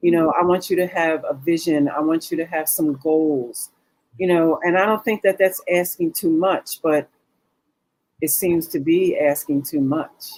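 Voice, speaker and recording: Fairly low in pitch with ordinary pitch variation, a woman talks in an unremarkable speaking voice. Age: 60s. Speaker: businesswoman discussing dating. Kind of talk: talk show discussion. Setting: studio.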